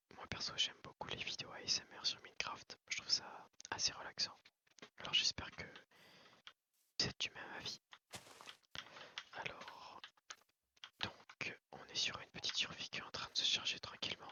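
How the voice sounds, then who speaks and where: A man whispers at a moderate pace, with long, frequent pauses. His loudness swings widely. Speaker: ASMR gaming creator. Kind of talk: gameplay commentary. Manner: whispered.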